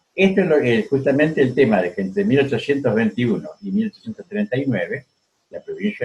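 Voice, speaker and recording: Somewhat breathy, a man's fairly high voice moves through very wide pitch swings. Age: 70s. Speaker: historian. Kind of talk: interview. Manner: halting.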